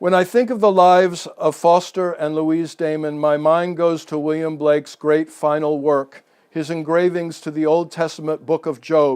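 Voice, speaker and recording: A normal speaking voice: a man with an American accent, fairly high pitch, fairly even intonation, moderate pace and hardly any pauses, against a quiet background. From New England, Massachusetts coast. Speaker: local history speaker. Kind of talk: public talk. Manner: reads prepared text.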